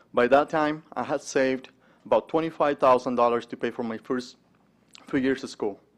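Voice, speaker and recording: Talking with a Spanish accent, a man keeps a fairly slow pace. His intonation is fairly even. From Mexico. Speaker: entrepreneur and investment manager giving a testimony. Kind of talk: speech at a conference breakfast. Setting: stage with audience. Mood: earnest, personal. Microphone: podium.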